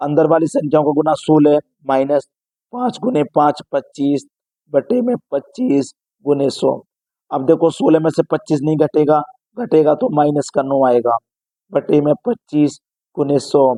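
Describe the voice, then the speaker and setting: A man's fairly high, dark, mellow voice at a fairly slow pace, with long, frequent pauses and a dry, close sound with no echo. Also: lively intonation. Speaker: math coaching teacher. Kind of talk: tutorial. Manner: loud, straining to be heard.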